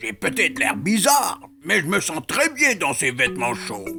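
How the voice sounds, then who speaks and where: A woman's hoarse, put-on character voice, fairly low in pitch, at a moderate pace over clear background music. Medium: read story.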